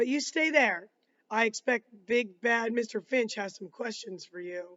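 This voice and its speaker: A raspy, put-on character voice, fairly high in pitch, at a moderate pace. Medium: read story. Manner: pleasant, measured.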